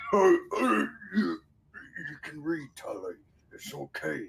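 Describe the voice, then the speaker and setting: A man uses a put-on character voice and talks at a very slow pace. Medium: actual play. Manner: stammering, soft, apologetic.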